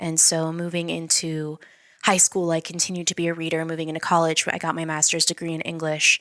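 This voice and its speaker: A bright, sharp voice in an American accent, flat and monotone, at a fairly quick pace. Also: woman. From US East Coast, born in Mexico City. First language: Spanish. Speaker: business owner. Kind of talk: podcast interview.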